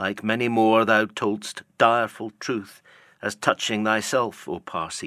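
Text voiced in an unforced reading voice.

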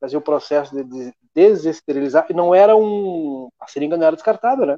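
A man's unremarkable speaking voice, fairly high in pitch, with lively intonation and a fairly quick pace. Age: 40s. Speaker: local news show host. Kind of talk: casual news chat livestream. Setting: studio livestream on Facebook.

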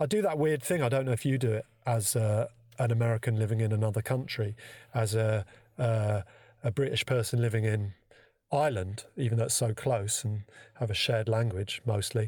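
A man with a London accent speaks at a fairly quick pace in a somewhat breathy voice, his loudness very even on a very clean recording with a silent background. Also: medium pitch for a man, ordinary pitch variation. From London, England. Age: 50s. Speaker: conceptual artist. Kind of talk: casual chat.

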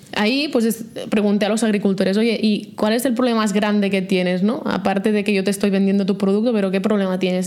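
Audible room echo around a woman's medium-pitched voice with ordinary pitch variation. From Catalonia, Vallès Oriental. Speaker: startup founder and CEO. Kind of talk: interview.

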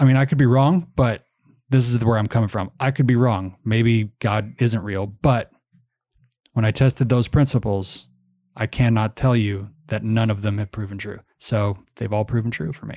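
A man speaks in a dark, mellow tone with ordinary pitch variation, recorded very cleanly against a silent background. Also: medium pitch for a man, moderate pace. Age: 30s. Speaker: podcast co-host. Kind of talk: casual chat.

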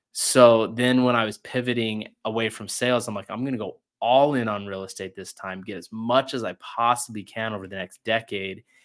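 A man with an ordinary speaking voice talks at a medium pitch and a moderate pace with fairly even intonation. The recording is very clean, with a silent background. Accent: American. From Utah, rural ranch. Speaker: real estate investor and podcast host. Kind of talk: interview conversation.

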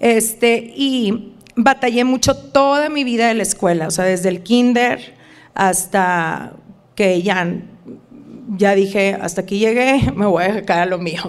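Very slow speech from a woman at a medium pitch. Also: ordinary pitch variation. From northern Mexico border, Reynosa. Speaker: wellness influencer. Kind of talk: casual interview chat. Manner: halting with many fillers.

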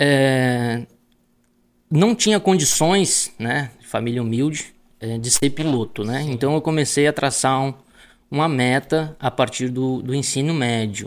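Speaking fairly slowly in a plain, everyday voice, a man with a medium pitch shows ordinary pitch variation on a very clean recording with a silent background. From Rio Grande do Sul, Brazil (Palmares do Sul). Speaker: agricultural pilot. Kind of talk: casual interview.

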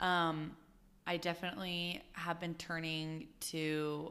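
In a Utah accent, a woman speaks loudly at a fairly low pitch, her tone bright and sharp and her intonation flat and monotone. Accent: Utah American. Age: 20s. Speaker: professional dancer. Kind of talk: interview conversation. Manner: loud, outgoing.

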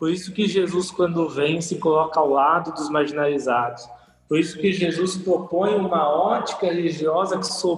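Over noticeable background noise, a man talks at a high pitch with fairly even intonation. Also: moderate pace. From Brazil, São Paulo city. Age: 20s. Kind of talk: casual podcast interview.

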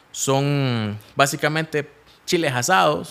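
On a very clean recording with a silent background, a man with a fairly high pitch uses lively intonation. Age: 30s. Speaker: entrepreneur. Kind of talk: interview. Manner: halting, frequent fillers and repetitions.

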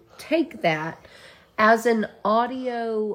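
The speech comes with a Southern US accent. Its pace is very slow. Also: woman. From Georgia. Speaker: podcast co-host. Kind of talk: casual chat.

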